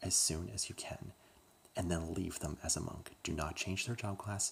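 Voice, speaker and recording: Soft-spoken and somewhat breathy, a man talks at a fairly slow pace in a very deep, low pitch. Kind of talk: ASMR ramble, casual talk to camera.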